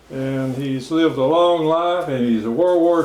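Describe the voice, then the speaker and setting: A man's fairly high pitch at a fairly slow pace, with ordinary pitch variation and noticeable background noise. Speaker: interviewer. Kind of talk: interview introduction.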